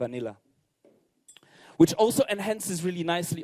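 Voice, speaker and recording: A man's dark, mellow tone in a Polish accent, with lively intonation at a fairly quick pace, dry and close with no echo. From Poland. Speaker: bartender. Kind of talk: competition presentation. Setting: stage with audience.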